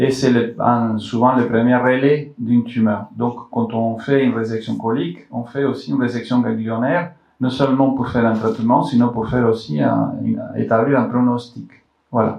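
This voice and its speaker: A man with a non-native accent talks at a moderate pace. His pitch is medium. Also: ordinary pitch variation. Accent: foreign accent in French. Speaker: colorectal surgeon. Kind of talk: health talk to public audience. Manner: halting with many repetitions.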